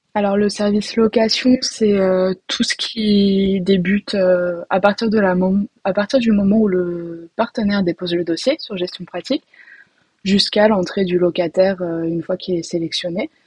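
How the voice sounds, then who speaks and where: A somewhat breathy woman at a medium pitch speaks with fairly even intonation at a moderate pace, recorded dry and close with no echo. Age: 20s. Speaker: rental department employee. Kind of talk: casual interview.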